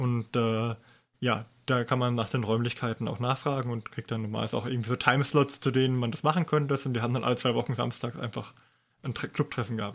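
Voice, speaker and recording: A male voice of middle pitch, delivered very rapidly and with mostly level intonation. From southern Germany. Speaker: podcast co-host. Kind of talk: casual chat.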